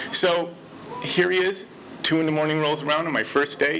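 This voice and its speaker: Noticeable background noise surrounds a man with an American accent. He has a fairly high pitch and a fairly quick pace. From Detroit, Michigan, US. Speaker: storyteller. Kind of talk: personal storytelling.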